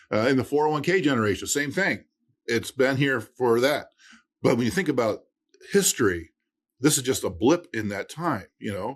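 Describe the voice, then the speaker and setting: A man with an American accent speaks at a moderate pace and medium pitch with lively intonation. He leaves long, frequent pauses on a very clean recording with a silent background. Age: 60s. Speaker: estate planning attorney and podcast host. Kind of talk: casual interview chat. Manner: hesitant, many fillers and restarts.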